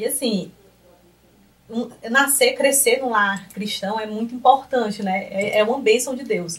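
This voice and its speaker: The pitch of a woman's voice shifts in an ordinary way. She talks at a fairly slow pace. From Piauí, Brazil (Piripiri). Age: 30s. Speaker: accountant and lecturer.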